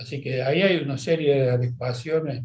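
A somewhat breathy man's voice at medium pitch, with ordinary pitch variation. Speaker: retired physician. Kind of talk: interview. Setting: video call.

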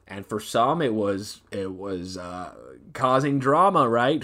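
A man talks in an animated tone. The recording is very clean, the background silent. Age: 20s. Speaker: podcast host. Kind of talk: casual chat.

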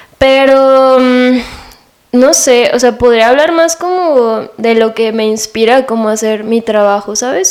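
Speaking at a fairly slow pace with fairly even intonation, a woman has an ordinary speaking voice pitched fairly high. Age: 20s. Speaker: photographer and visual arts student. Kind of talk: casual interview chat.

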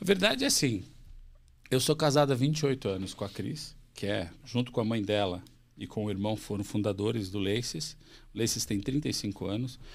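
A normal speaking voice at a moderate pace with ordinary pitch variation, in a very clean recording with a silent background. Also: man, fairly low pitch for a man. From Santa Catarina, Brazil (Chapecó). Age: 40s. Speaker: company CEO. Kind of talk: interview conversation.

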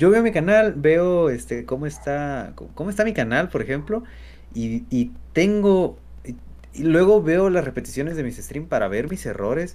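A man with a Mexican accent talks at a fairly slow pace. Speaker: content creator. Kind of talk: casual chat. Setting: live stream. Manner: halting.

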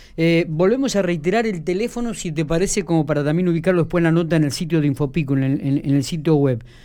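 Speaking very fast with hardly any pauses, a man with a Rioplatense accent has a high pitch, ordinary pitch variation and a dark, mellow tone. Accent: Argentine Spanish (rioplatense). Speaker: radio host. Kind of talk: radio interview. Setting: radio studio.

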